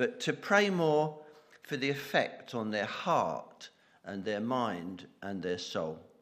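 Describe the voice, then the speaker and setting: A man's medium-pitched voice at a very slow pace, with very wide pitch swings and audible room echo. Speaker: church member leading prayers. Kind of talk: intercessory prayer in church service.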